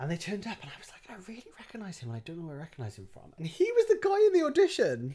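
Delivered in a South Wales accent at a very fast pace, the speech has hardly any pauses and big swings in loudness. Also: man. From Wales, Barry. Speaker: actor. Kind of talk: casual chat.

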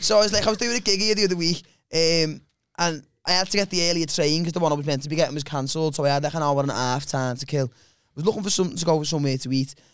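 On a very clean recording with a silent background, a man with a fairly high pitch talks at a very fast pace with ordinary pitch variation and big swings in loudness. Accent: Liverpool. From Liverpool, England. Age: 20s. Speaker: comedian. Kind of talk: casual chat.

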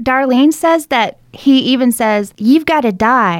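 The speaker uses lively intonation with an Alabama accent. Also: woman. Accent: Southern US (Alabama). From US South, rural Alabama. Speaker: podcast co-host. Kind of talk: true crime storytelling chat.

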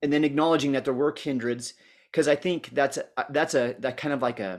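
A man is talking here. The pitch of his voice is medium. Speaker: podcast host. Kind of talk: podcast interview intro and conversation.

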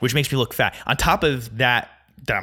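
A loud, animated man at a medium pitch, with a bright, sharp tone and a very fast pace. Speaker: podcast host. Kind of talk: solo monologue. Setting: home recording, alone.

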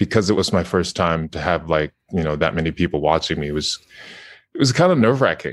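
His voice is very deep and low. The man leaves long, frequent pauses. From Japan. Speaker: video game voice actor. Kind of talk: casual interview. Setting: video call. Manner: halting.

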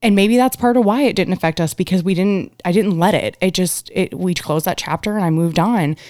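A woman speaks at a medium pitch in an ordinary speaking voice. The recording is very clean, with a silent background. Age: 30s. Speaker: abuse survivor and advocate. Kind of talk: interview. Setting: studio.

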